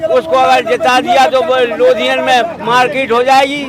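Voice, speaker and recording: Crowd noise fills the background. A man speaks at an extremely high pitch. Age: 70s. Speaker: villager at a public forum. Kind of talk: vox pop interview.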